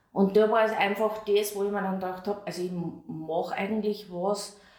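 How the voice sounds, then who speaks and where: With audible room echo and noticeable background noise, a woman speaks at a medium pitch with fairly even intonation. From Austria, Amstetten (Lower Austria). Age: 50s. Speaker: continence and stoma nurse. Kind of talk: interview.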